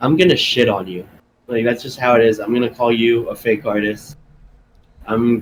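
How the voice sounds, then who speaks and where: With an American accent, a man talks at a moderate pace and a medium pitch with ordinary variation. He leaves long, frequent pauses. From California. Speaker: music artist. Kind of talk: casual chat. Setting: podcast interview.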